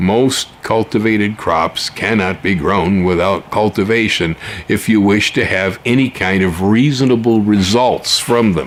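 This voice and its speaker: Noticeable background noise accompanies a man with fairly low pitch and very even loudness. He speaks at a fairly slow pace with ordinary pitch variation and hardly any pauses. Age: 70s. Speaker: gardening YouTuber. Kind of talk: casual monologue. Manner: conversational with many fillers.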